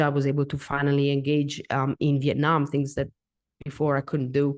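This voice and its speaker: A woman speaks at a moderate pace with a very deep, low pitch and a non-native accent. The background is quiet. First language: not English. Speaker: coffee consultant and educator. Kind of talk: podcast interview. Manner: halting, many fillers and repeats.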